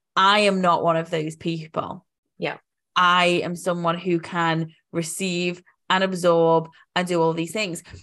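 Speaking at a fairly slow pace with a British accent, the woman has a fairly low pitch, a bright, sharp tone and monotone, flat intonation. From UK. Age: 30s. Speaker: life coach. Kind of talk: casual chat.

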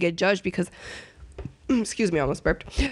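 Intonation is lively throughout. She, a woman, talks at a very fast pace. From Dominican Republic. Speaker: podcast guest. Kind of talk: casual chat.

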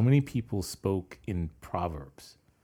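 On a very clean recording with a silent background, a man with an American accent and a dark, mellow tone speaks at a very slow pace with lively intonation. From New York. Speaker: podcast co-host. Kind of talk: casual chat.

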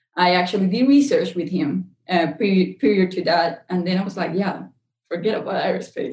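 A woman speaks with a Spanish accent in a somewhat breathy voice. Her pitch is medium with ordinary variation, and her pace is moderate. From Colombia. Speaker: chemical engineer and CEO. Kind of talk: interview.

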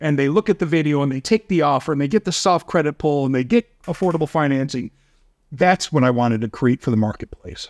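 Very fast and animated, the voice has lively intonation over a quiet background, with a dry, close sound and no echo. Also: man, fairly high pitch for a man. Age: 50s. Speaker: company CEO. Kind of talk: casual interview chat. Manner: high energy, animated.

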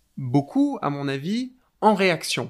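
Against a silent background in a very clean recording, a man speaks at a very slow pace. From France. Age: 20s. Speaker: doctoral researcher in philology. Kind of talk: interview conversation. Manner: halting, with frequent hesitations.

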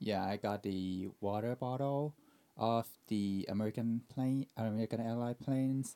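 A man with a Thai accent, a dark, mellow tone and medium pitch, fairly even intonation at a moderate pace, in a dry, close sound with no echo. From Thailand. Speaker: airline pilot scheduler and podcast editor. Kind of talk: casual chat.

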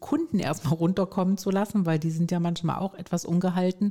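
A woman speaks at a very fast pace in a medium pitch, her tone dark and mellow, somewhat breathy, with ordinary pitch variation. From Stuttgart, Swabia, southwest Germany. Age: 50s. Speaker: resilience trainer and coach. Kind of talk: interview.

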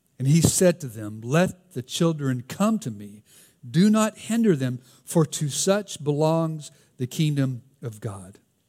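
Very slowly, a man with a Southern US accent speaks in a dark, mellow tone at a fairly high pitch, with very wide pitch swings. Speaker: pastor. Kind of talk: sermon. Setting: church.

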